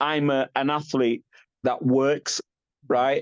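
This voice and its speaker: An animated man with a British accent. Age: 50s. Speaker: bodybuilder. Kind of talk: podcast interview.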